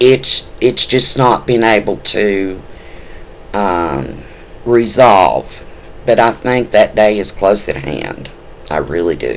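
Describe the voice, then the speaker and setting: A Southern US accent at a very slow pace, lively intonation broken by long, frequent pauses, with noticeable background noise. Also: man, fairly low pitch for a man. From US South. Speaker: spiritual video blogger. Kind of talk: personal testimony. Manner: halting, many fillers.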